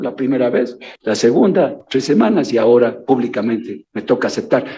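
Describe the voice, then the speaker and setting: A man speaking at a moderate pace. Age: 70s. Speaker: former official testifying before legislature. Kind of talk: testimony. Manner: halting with repetitions.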